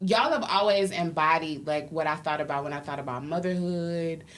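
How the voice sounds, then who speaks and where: Audible room echo follows a woman whose voice is fairly low in pitch. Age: 30s. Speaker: podcast co-host. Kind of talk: casual chat.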